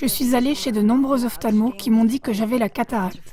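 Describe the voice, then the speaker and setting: There is noticeable background noise behind this woman. Her pitch is fairly high and her intonation fairly even. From Austria, Vienna. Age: 80s+. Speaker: event attendee sharing healing story. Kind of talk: interview testimony. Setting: studio.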